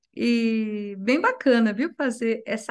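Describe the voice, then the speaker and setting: With lively intonation and a fairly high pitch, a woman speaks in a normal speaking voice. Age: 60s. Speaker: NGO executive director. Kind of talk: panel discussion.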